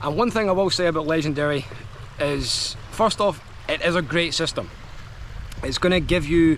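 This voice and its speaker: A man with a Scottish accent speaks at a fairly high pitch over noticeable background noise. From Scotland. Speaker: affiliate marketer, online business vlogger. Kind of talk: product review vlog. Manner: casual, filler-heavy.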